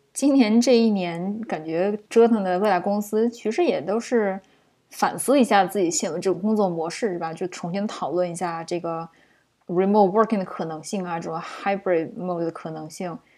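A woman speaks at a moderate pace with a dark, mellow tone, medium pitch and ordinary pitch variation. The recording is very clean, with a silent background. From China. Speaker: podcast co-host, project manager. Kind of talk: casual chat.

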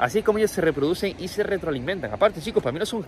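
Over noticeable background noise, a man speaks at a high pitch and a very fast pace. His intonation is lively and his tone animated. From Canary Islands, Tenerife. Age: 20s. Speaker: online entrepreneur and coach. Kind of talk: casual motivational monologue.

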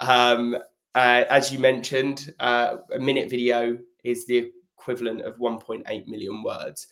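This man has a British accent. He talks at a fairly slow pace. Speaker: sales development rep, video specialist. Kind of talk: live sales podcast discussion.

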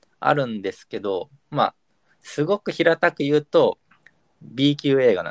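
A man's unremarkable speaking voice, fairly high-pitched and lively in intonation, at a moderate pace with big swings in loudness and a dry, close sound without echo. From Kyushu. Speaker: podcast host. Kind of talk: casual chat.

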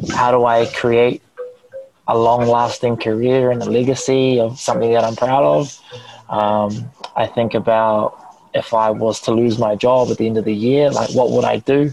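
At a moderate pace, a man of medium pitch talks with fairly even intonation through noticeable background noise. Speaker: media personality. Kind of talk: casual chat. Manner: projects voice louder when recording.

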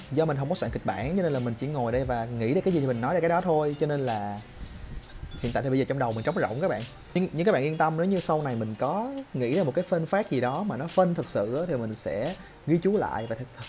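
Very fast, lively, fairly high-pitched speech from a man. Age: 20s. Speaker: YouTuber. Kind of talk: casual monologue vlog. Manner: unscripted, improvised.

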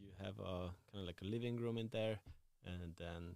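A man with a Hungarian accent and a very deep, low pitch, at a moderate pace with fairly even intonation. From Hungary. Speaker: tattoo artist and shop owner. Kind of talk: casual interview chat.

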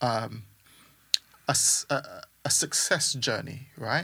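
A man speaks in a bright, sharp tone. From Caribbean and UK. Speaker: music producer and mentor. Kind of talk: casual interview.

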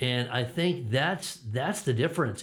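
Fairly quick and somewhat breathy, a man with an American accent speaks at a medium pitch. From Connecticut, US. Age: 50s. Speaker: former pastor. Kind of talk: interview. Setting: church studio, video recording. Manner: halting, many fillers.

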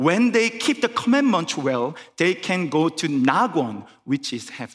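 A man speaks at a high pitch and a fairly slow pace. His pitch swings very widely. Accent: Korean. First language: Korean. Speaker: pastor. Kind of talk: sermon. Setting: church. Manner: halting.

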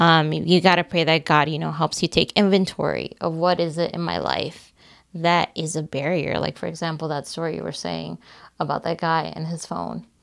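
The pace of this woman's speech is moderate. Her voice sits in a very clean recording over a silent background. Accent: American. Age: 20s. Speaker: podcast co-host. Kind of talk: casual chat.

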